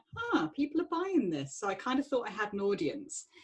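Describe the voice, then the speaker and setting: A woman's voice in a southern English accent, with very wide pitch swings. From southern England, Surrey. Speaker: author. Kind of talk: panel discussion.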